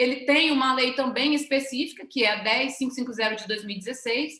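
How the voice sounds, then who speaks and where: A woman's high-pitched, raised and projected voice, bright and sharp in tone, with fairly even intonation and a fairly quick pace. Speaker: government official presenting a webinar. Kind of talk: webinar presentation. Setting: online webinar. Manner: fast.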